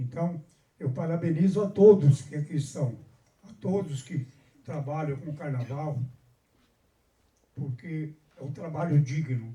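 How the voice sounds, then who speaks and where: Fairly slow with long, frequent pauses, a man in a somewhat breathy, fairly high voice shows ordinary pitch variation and big swings in loudness. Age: 80s+. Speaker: carnival samba school veteran. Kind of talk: panel discussion speech. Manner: halting, with repetitions.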